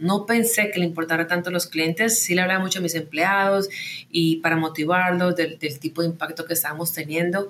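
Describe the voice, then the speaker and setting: Speaking fairly quickly, a woman uses a normal speaking voice at a medium pitch with ordinary pitch variation. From Colombia, Medellín. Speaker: tech company founder and CEO. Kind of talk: interview.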